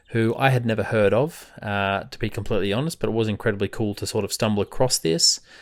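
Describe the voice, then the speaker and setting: Over a very clean recording with a silent background, a man with an Australian accent talks at a very fast pace in a fairly low pitch. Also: ordinary pitch variation. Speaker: book podcast host. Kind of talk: casual podcast monologue. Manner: casual with many fillers.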